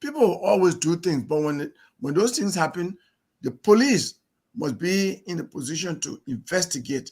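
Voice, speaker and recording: This man talks at a moderate pace in a high voice with lively intonation. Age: 60s. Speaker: presidential candidate, lawyer. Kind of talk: interview.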